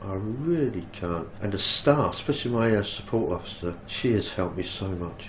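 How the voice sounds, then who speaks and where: The man's pitch is fairly low and his intonation lively as he talks at a moderate pace. Room echo can be heard, along with noticeable background noise. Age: 60s. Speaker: army veteran. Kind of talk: interview testimony.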